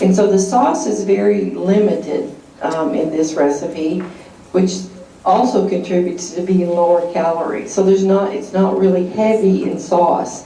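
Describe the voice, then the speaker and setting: A woman speaks at a medium pitch and a moderate pace with ordinary pitch variation, and there is audible room echo and noticeable background noise. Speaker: cooking class instructor. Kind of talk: cooking class demonstration. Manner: soft-spoken; hesitant, many fillers.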